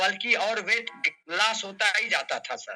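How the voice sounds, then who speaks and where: A man uses a raised, projected voice at a high pitch. The intonation stays fairly even. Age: 60s. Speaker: doctor giving a health testimonial. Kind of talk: testimony. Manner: halting.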